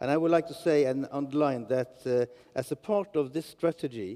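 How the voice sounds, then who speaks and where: A man with a fairly high-pitched, dark and mellow voice speaks at a moderate pace with ordinary pitch variation. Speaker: regional politician. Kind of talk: panel discussion. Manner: halting.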